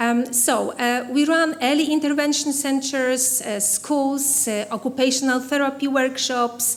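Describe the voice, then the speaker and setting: Fairly slow speech with hardly any pauses and fairly even intonation, in a Polish accent, with audible room echo and noticeable background noise. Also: woman, high pitch for a woman. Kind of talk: conference keynote. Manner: halting, many fillers.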